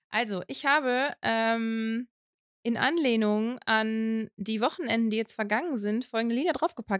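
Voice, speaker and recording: On a very clean recording with a silent background, a woman speaks at a moderate pace and a fairly high pitch, the sound dry and close with no echo. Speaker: podcast co-host. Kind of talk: casual chat. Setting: home office in the attic, in person.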